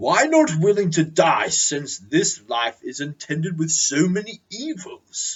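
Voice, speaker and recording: A man's put-on character voice, high-pitched and at a fairly slow pace. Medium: read story. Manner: solemn, archaic.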